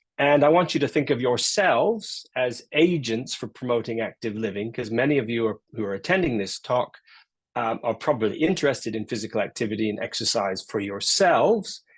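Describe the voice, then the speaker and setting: A man's plain, everyday voice at medium pitch, fairly quick in pace, with lively intonation and a quiet background. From Canada. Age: 60s. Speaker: professor. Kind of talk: lecture.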